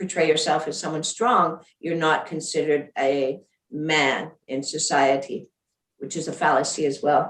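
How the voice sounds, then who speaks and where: Her pitch very deep and low, a woman speaks at a fairly slow pace. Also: fairly even intonation. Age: 60s. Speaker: former provincial premier. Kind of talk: panel discussion.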